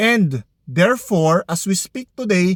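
The sound is dry and close, with no echo. Pitch variation is ordinary. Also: man. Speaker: lawyer giving legal advice. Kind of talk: legal explainer monologue. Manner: halting, many fillers.

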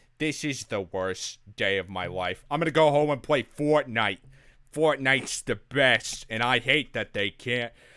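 A man puts on a whiny character voice at a medium pitch. He speaks at a moderate pace in a very clean recording with a silent background. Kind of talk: cartoon impression. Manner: angry, whiny.

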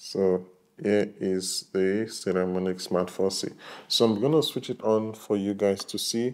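A man speaks with ordinary pitch variation. His tone is dark and mellow. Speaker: tech reviewer. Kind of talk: tutorial. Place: home room. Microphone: lapel.

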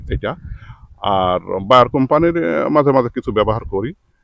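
This man's medium-pitched voice moves through very wide pitch swings. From Bangladesh, Pabna district. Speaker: onion seed farmer and seller. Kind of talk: field interview.

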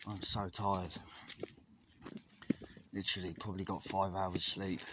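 Against noticeable background noise, a man speaks at a moderate pace in a weary tone, the sound dry with no echo. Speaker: vlogger. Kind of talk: casual vlog chat. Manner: weary, low, exhausted voice. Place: open country. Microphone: phone near.

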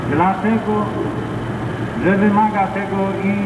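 Over loud background noise, a man speaks with audible room echo. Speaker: priest leading mass. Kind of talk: sermon. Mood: solemn, encouraging. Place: factory. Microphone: pa.

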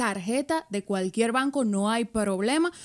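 With lively intonation and a fairly high pitch, a woman speaks at a fairly slow pace over a quiet background. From Dominican Republic. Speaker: radio and podcast host; radio, podcast host. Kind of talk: casual interview. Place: studio. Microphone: studio mic.

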